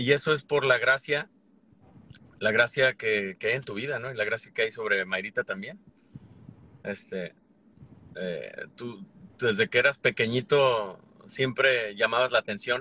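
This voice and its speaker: A man speaks at a fairly slow pace with long, frequent pauses. His tone is bright and sharp, with ordinary pitch variation, in a dry recording with no echo. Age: 40s. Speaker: YouTuber. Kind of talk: casual chat. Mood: calm, reconciling. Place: car. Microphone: phone near.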